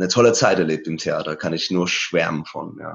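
This man has a very deep, low pitch and a Persian accent. He speaks at a moderate pace. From Iran, Isfahan and Tehran; moved to Germany at eleven. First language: Persian (speaking German). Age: 30s. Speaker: painter and musician. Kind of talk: interview about his life story. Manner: hesitant with many fillers.

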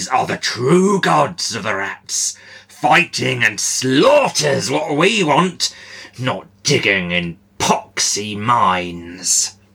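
A man puts on a character voice at a medium pitch, with very wide pitch swings. He speaks at a very slow pace. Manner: aggressive, bloodthirsty.

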